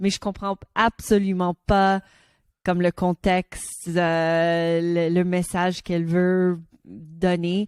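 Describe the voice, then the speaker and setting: The recording is dry and close, with no echo. It carries a woman's voice at a medium pitch. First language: English (speaking French). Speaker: podcast co-host. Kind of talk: casual chat. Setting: studio. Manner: halting.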